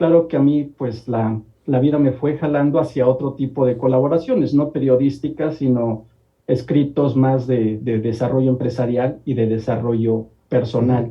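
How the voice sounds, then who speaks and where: An ordinary speaking voice, fairly even in intonation, at a moderate pace. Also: man, medium pitch for a man. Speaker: columnist and industrial engineer. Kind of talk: TV talk show interview.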